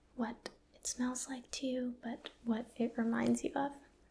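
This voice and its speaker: A soft-spoken woman's high, gentle voice with a dark, mellow tone at a very slow pace. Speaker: ASMR roleplay doctor. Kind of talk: ASMR medical roleplay exam, personal attention. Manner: soft-spoken, gentle.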